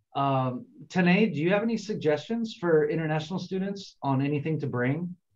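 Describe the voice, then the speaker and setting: A man with an American accent speaks in an ordinary speaking voice with ordinary pitch variation. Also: fairly high pitch for a man. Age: 40s. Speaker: international student advisor. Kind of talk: online info session. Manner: casual, conversational.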